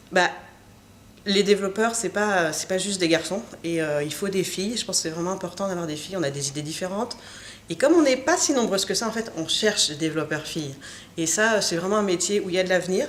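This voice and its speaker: A woman races along at a very fast pace, with noticeable background noise around her. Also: medium pitch for a woman, ordinary pitch variation. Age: 30s. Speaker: software engineer. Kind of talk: interview. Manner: hesitant, many filler sounds.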